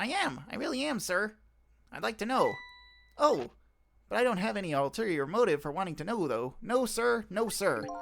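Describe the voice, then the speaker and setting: A put-on character voice swings very widely in pitch, moving at a moderate pace with long, frequent pauses over faint background music. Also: man, high pitch for a man. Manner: nerdy.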